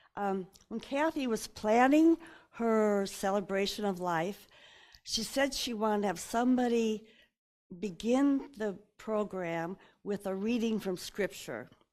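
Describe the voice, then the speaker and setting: A woman speaks at a fairly high pitch with ordinary variation in her intonation, in a very clean recording with a silent background. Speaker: family member giving a scripture reading at a memorial. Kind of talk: eulogy remarks and scripture reading.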